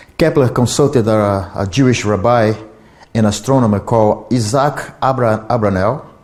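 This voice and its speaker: Audible room echo surrounds a man who speaks at a moderate pace and medium pitch, with ordinary pitch variation and very even loudness. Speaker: lecturer on esoteric history. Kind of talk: lecture. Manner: halting, with repetitions and restarts.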